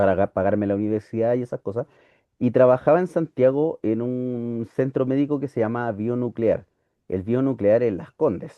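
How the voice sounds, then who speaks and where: A normal speaking voice from a man, medium in pitch, at a moderate pace. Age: 40s. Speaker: teacher. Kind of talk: lecture.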